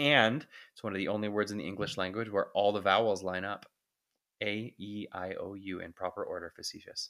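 With a Canadian accent, a man speaks in a fairly low pitch, his bright, sharp tone held to fairly even intonation. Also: fairly quick pace, big swings in loudness, very clean recording, silent background. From Ontario, Canada (Whitby). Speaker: TV meteorologist. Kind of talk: interview.

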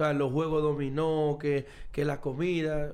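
This man speaks in a fairly high pitch. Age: 30s. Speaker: professional baseball player. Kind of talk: casual chat. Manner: animated.

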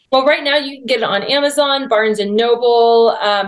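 A woman with an unremarkable speaking voice keeps a moderate pace, her pitch varying in an ordinary way. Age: 40s. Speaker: author and church culture advocate. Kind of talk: casual interview.

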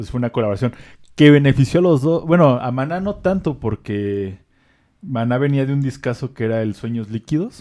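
On a very clean recording with a silent background, a man in a Mexican accent speaks fairly quickly at medium pitch with a dark, mellow tone. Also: lively intonation. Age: 20s. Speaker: music podcast co-host. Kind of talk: casual chat.

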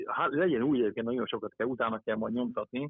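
The speaker is a man at a medium pitch. He talks at a very fast pace. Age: 50s. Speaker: author and archery coach. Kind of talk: interview. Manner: halting.

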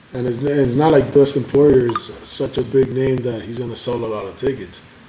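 Noticeable background noise sits behind a man talking at a moderate speed. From Cuba. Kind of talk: casual chat over beers. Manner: casual, profane, jokey.

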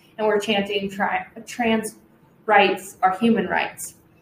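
A woman with an American accent talks at a moderate pace. Her pitch is fairly high, and there is noticeable background noise. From US Pacific Northwest (Washington state). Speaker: podcast co-host. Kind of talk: casual chat.

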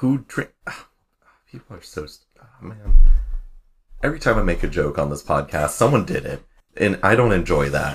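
At a moderate pace, a man with a fairly low, somewhat breathy voice swings very widely in pitch and strongly in loudness, leaving long, frequent pauses. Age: 20s. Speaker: podcast co-host. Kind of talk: casual chat.

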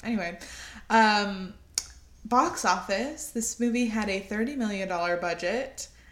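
A woman with a fairly high pitch speaks at a fairly slow pace, with audible echo in the room. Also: ordinary pitch variation. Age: 20s. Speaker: podcast co-host. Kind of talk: casual chat.

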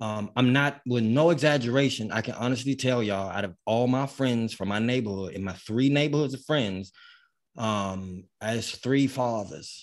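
The recording is very clean, and the background is silent. A man talks at a moderate pace and medium pitch, varying his pitch in an ordinary way. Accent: American. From US, grew up in housing projects. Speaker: sports podcast co-host, football fan. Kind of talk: casual chat. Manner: animated.

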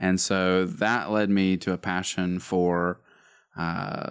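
A man with an Alabama accent talks in a very deep, low voice. The recording is very clean, with a silent background. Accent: Southern US (Alabama). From US South, Northeast Alabama. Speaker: worship pastor. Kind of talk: casual chat.

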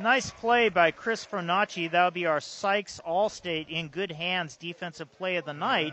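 With hardly any pauses, a man speaks at a moderate pace. His pitch is high, with ordinary variation. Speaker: play-by-play baseball announcer. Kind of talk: live baseball commentary and sponsor reads. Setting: ballpark broadcast. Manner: brisk, upbeat, informative.

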